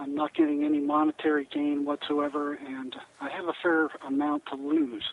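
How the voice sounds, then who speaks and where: A man's fairly high-pitched voice in a monotone, flat intonation, over noticeable background noise. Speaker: clinical psychologist. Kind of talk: radio interview. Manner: soft-spoken.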